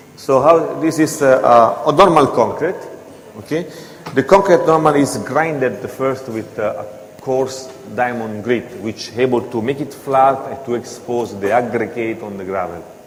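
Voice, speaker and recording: Over noticeable background noise and audible room echo, the voice swings widely in loudness while its pitch varies in an ordinary way. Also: man, medium pitch for a man, moderate pace. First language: not English. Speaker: floor grinding equipment presenter. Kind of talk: seminar presentation. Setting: hotel seminar with audience. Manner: halting.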